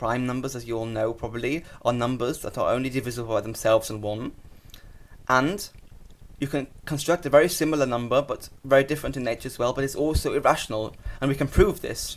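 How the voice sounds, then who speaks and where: The pace is very fast as a man talks. Ordinary variation marks his pitch. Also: medium pitch for a man. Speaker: mathematician. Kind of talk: math explainer talk.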